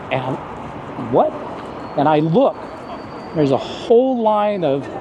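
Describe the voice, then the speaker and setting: A man speaks at a very slow pace amid noticeable background noise and audible room echo. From US South, rural south Texas. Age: 60s. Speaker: former police officer, expat. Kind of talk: interview. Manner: animated.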